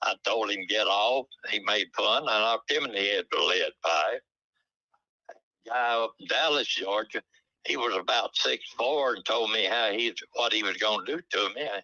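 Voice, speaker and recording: In a Southern US accent, a man talks at a moderate pace. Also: dry, close sound with no echo. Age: 90s. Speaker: retired drag racer. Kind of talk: casual interview. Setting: phone call.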